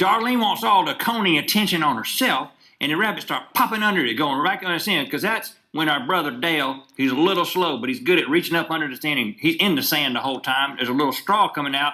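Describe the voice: A man talks at a fast pace with a bright, sharp tone and lively intonation, with audible room echo. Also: fairly high pitch for a man.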